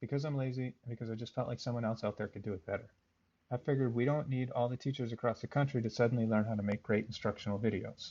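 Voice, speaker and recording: A very fast man at medium pitch, dark and mellow in tone and somewhat breathy, with fairly even intonation and a quiet background. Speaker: math teacher. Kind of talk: tutorial. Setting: recorded instructional video. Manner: monotone.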